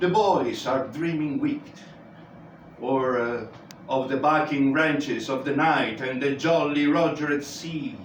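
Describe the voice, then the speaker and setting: A man's fairly high-pitched voice, fairly even intonation and fairly slow pace, with audible room echo and noticeable background noise. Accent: Italian. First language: Italian. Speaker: amateur reader. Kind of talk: reading aloud.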